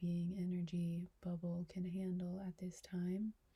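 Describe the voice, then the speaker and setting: Soft-spoken and somewhat breathy, a woman talks at a fairly slow pace with a fairly low pitch, a dark, mellow tone and monotone, flat intonation. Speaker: reiki practitioner and trainer. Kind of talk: reiki ASMR session, personal attention talk to camera.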